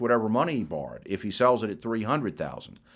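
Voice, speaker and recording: This is a man speaking with an American accent. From Florida. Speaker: university lecturer hosting a webcast. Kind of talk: live webcast lecture with viewer questions. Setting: live online broadcast. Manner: halting, many fillers and restarts.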